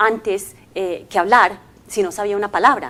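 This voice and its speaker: Speaking with an English accent at a fairly slow pace, a woman keeps a medium pitch and fairly even intonation. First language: English (speaking Spanish). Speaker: language company commercial manager. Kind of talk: interview. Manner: hesitant, many fillers.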